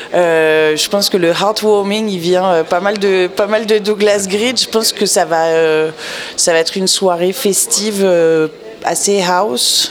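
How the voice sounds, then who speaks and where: Very slow delivery with fairly even intonation over noticeable background noise. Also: woman, medium pitch for a woman. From mixed: born Lyon, English father, 10 years Montreal. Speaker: music festival programmer. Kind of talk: radio interview. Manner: hesitant.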